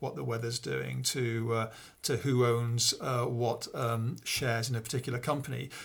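A man talks with a northern English accent. His pitch is medium and his intonation fairly even. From northern England, Peak District. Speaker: computer scientist and college principal. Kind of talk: interview. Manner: halting, many fillers.

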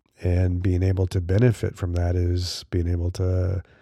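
A man's very deep, low voice, dark and mellow in tone and somewhat breathy. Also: very clean recording, silent background. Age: 50s. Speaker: podcast host. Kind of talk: solo podcast monologue. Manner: casual, with fillers.

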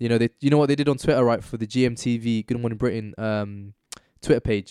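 In a London accent, a man speaks at a medium pitch with fairly even intonation, on a very clean recording with a silent background and a dry, close sound with no echo. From northwest London. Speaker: activist and podcast guest. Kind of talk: casual chat.

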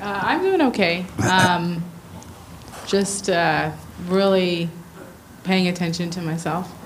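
Over noticeable background noise, a woman talks at a very slow pace in a flat monotone, with long, frequent pauses. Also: fairly low pitch for a woman. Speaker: church attendee. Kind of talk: casual chat. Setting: stage with audience.

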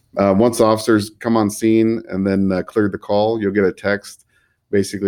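Speaking at a moderate pace over a quiet background, a man keeps a fairly low pitch and a monotone, flat intonation. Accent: Californian. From California, Central Valley (Fresno). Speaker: police chief. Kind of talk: interview.

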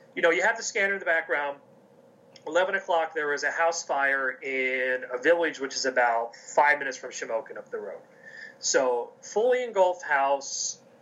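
A man speaks at a high pitch and a moderate pace. His intonation is lively, with big swings in loudness. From US, coal region of Pennsylvania. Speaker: athletic conference communications officer. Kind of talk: interview.

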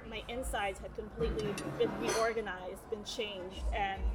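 A woman with an American accent talks at a moderate pace. Audible room echo and noticeable background noise surround her. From New York City. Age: 30s. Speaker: lawyer in recovery. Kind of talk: casual interview, personal testimony. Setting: busy diner.

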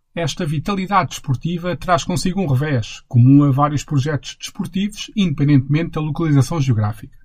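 A man speaks fairly quickly with hardly any pauses. His voice is somewhat breathy and fairly high-pitched, with ordinary pitch variation. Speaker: podcast host and narrator. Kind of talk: scripted narration.

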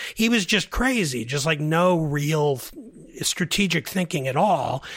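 Lively intonation at a fairly slow pace. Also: man. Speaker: political columnist and writer. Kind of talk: political debate podcast discussion. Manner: hesitant, repeats words often.

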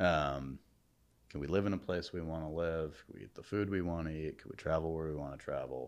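Speaking at a fairly quick pace, a man with an American accent has a very deep, low pitch and ordinary pitch variation. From New Haven, Connecticut. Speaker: startup founder. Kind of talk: casual interview. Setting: podcast studio.

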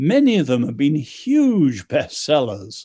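With an English accent, a man in a dark, mellow tone speaks at a fairly slow pace from a fairly high pitch that swings very widely, in a very clean recording over a silent background. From China, then schooled in England. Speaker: author. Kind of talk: interview.

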